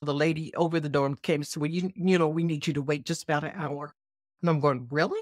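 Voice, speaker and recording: A woman talks very fast in a very deep, low pitch with fairly even intonation, her sound dry and close with no echo. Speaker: retired educator. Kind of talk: interview. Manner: halting.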